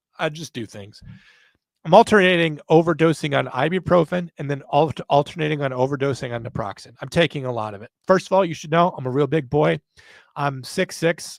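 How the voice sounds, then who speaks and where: In a very clean recording with a silent background and a dry, close sound with no echo, a man with an American accent talks at a fairly quick pace, his fairly high pitch showing ordinary variation in an unremarkable speaking voice. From US South. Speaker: podcast host. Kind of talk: casual chat.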